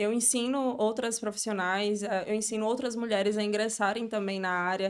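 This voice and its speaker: Monotone and flat, a woman talks at a moderate pace with very even loudness. The recording is very clean, with a silent background. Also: fairly high pitch for a woman. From Brazil, Northeast (Sergipe). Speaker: beauty entrepreneur and mentor. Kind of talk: podcast interview.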